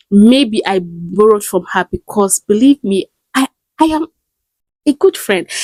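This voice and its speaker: A somewhat breathy woman's voice with very wide pitch swings, dry and close with no echo. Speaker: stutter and lifestyle content creator. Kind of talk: casual talk to camera.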